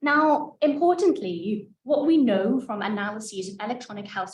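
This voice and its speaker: A woman speaks at a moderate pace. Her voice is somewhat breathy. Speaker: mental health researcher. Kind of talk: lecture. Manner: soft-spoken.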